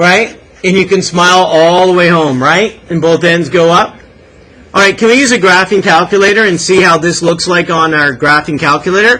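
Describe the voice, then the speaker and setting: A man's high, animated voice at a moderate pace, with ordinary pitch variation and very even loudness. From Canada. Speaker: math teacher. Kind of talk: classroom lecture. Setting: classroom. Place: classroom.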